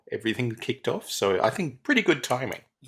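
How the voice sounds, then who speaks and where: A man speaks in an Australian accent. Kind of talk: casual chat.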